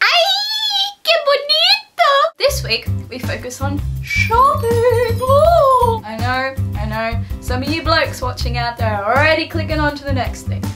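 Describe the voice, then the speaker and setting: A woman with an Australian accent at a fairly slow pace, clear music playing behind her. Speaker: vlogger. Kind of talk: casual vlog talk to camera. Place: home room. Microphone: webcam.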